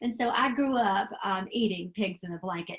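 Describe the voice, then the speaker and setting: The voice is somewhat breathy and has a Southern US accent. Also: woman. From US South. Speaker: extension educator. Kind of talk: webinar presentation. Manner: casual, lots of fillers.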